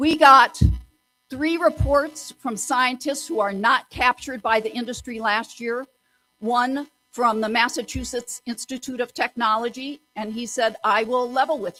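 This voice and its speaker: A woman's loud, high-pitched voice at a fairly slow pace, with ordinary pitch variation, a dry, close sound with no echo, and music in the background. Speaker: community activist presenter. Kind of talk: public presentation. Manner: animated.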